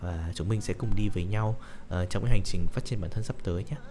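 A man's fairly low pitch with ordinary variation, music in the background. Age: 20s. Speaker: podcaster. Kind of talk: personal monologue. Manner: halting.

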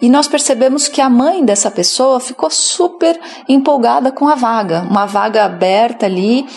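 A high-pitched woman with lively intonation at a moderate pace, amid noticeable background noise. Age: 30s. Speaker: HR consultant. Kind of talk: interview.

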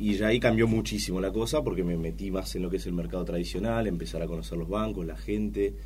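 Hardly pausing, a man speaks at a very deep, low pitch with vocal fry and very wide pitch swings. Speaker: head of trading. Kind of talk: casual interview.

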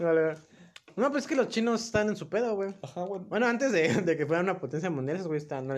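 A man with a high pitch talks at a very fast pace, his intonation lively. Noticeable background noise runs underneath. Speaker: podcast co-host. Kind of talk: casual chat.

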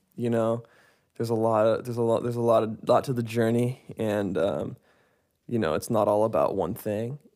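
A man with an American accent speaks at a medium pitch. His pace is moderate and his intonation fairly even. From US Pacific Northwest, Seattle. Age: 20s. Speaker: musician and producer. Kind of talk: interview. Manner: halting, many fillers.

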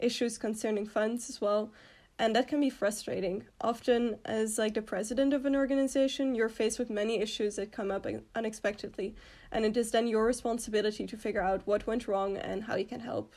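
A woman speaks fairly quickly with a Dutch accent, a fairly high pitch and fairly even intonation. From Netherlands. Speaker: student organization president. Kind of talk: interview.

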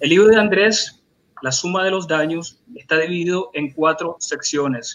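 A man speaks slowly-ish at a high pitch, his pitch varying in an ordinary way, at a fairly slow pace. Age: 40s. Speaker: literary critic. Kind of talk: book presentation.

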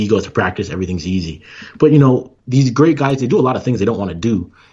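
A man talks in a somewhat breathy voice. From Canada. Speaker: former Olympic sprinter and entrepreneur. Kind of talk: casual interview.

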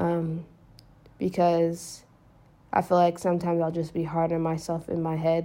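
With an American accent, a woman speaks at a moderate pace in a fairly low, dark and mellow voice, flat and monotone, with long, frequent pauses on a very clean recording over a silent background. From United States. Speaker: podcaster. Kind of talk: casual monologue.

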